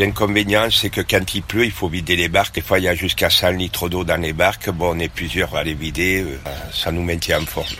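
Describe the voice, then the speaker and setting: A very deep, low-pitched man at a fairly quick pace, with noticeable background noise. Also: ordinary pitch variation. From southern France. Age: 60s. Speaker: boat rental dock worker. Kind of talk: casual chat.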